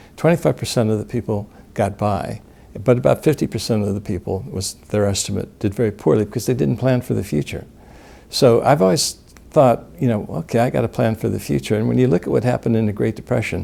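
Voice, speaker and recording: A man's fairly low, dark, mellow voice with vocal fry and lively intonation at a very fast pace. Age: 60s. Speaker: gold company director, interviewee. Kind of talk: interview. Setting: in-person sit-down interview in New Orleans.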